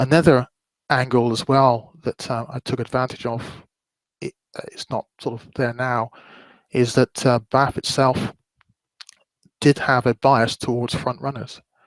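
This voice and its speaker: A man with a West Country accent speaks at a fairly slow pace and a medium pitch, with monotone, flat intonation. Long, frequent pauses come through in a dry, close sound with no echo. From West Country, England. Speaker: horse racing betting analyst. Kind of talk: webinar presentation. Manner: hesitant, many fillers.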